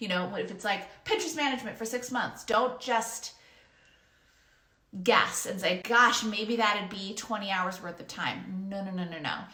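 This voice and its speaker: A woman talks at a moderate pace in a medium pitch, with ordinary pitch variation and audible room echo. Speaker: freelance business coach. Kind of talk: online course lesson.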